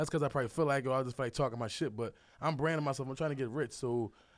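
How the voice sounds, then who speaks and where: A man in an American accent talks at a very fast pace and medium pitch with fairly even intonation, on a very clean recording with a silent background. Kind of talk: casual chat.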